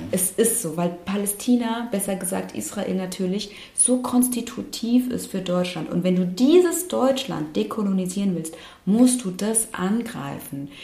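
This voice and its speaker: Against noticeable background noise, a woman of medium pitch talks at a fairly slow pace with lively intonation. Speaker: activist and lawyer. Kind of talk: casual interview conversation. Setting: studio.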